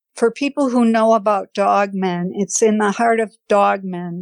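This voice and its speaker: A woman's very slow speech with an American accent, medium in pitch with ordinary pitch variation, dry and close with no echo. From Wisconsin, Fond du Lac. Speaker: podcast guest sharing paranormal experience. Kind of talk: personal testimony.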